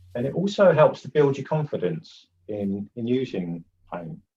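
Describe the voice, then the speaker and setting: The man's pitch swings very widely. His voice is somewhat breathy. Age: 50s. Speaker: oil painter and art teacher. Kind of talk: live painting tutorial. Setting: live webinar. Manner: casual, halting with fillers.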